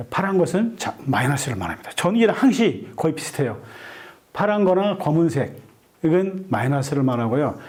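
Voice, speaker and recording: Audible room echo surrounds a man whose high-pitched voice makes very wide pitch swings at a moderate pace. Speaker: lecturer, online community leader. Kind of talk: lecture.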